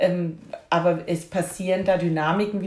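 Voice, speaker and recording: A somewhat breathy woman's voice, fairly low in pitch, monotone and flat, at a moderate pace. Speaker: podcast host and grief companion. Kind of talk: casual conversation. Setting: at home in the kitchen.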